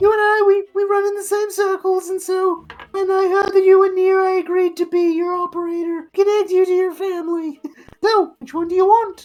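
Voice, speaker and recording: A put-on character voice, squeaky and extremely high-pitched, with monotone, flat intonation at a moderate pace. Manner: affected, put-on voice.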